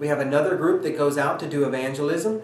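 Light background noise and audible room echo surround a man whose pitch varies an ordinary amount. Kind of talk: informational talk to camera.

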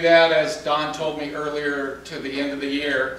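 Strong room echo surrounds a man who speaks at a fairly slow pace in a fairly bright tone.

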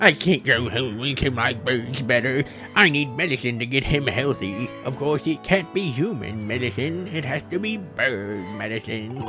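Over clear music in the background, a man in a put-on character voice speaks at a medium pitch and a moderate pace with hardly any pauses. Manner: droopy, mournful.

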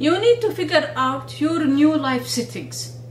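A woman speaks at a fairly slow pace. Audible room echo and light background noise come through. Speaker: video blogger and researcher. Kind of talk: monologue video talk with advice. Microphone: phone near.

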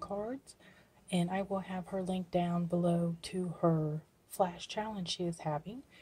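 A soft-spoken woman with a dark, mellow tone sounds somewhat breathy and keeps her intonation fairly even. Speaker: crafting YouTuber. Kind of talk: casual video blog. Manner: quiet, soft-spoken; hesitant, with fillers. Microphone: phone near.

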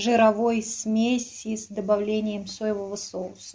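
Very slowly and in a flat monotone, a woman speaks in a somewhat breathy voice. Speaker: food reviewer. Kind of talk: casual vlog chat. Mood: sarcastic, disappointed. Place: kitchen. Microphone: phone near.

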